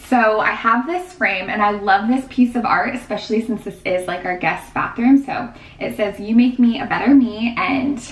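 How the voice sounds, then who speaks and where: Audible room echo surrounds a woman who talks at a moderate pace with hardly any pauses. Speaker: home vlogger. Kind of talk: casual vlog chat. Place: bathroom.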